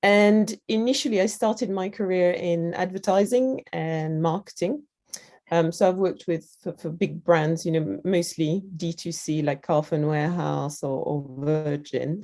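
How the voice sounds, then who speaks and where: A woman with a French accent speaks at a fairly slow pace in a fairly low voice, her tone dark and mellow, with ordinary pitch variation. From France. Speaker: digital product lead at a creativity festival. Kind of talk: interview. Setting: video call.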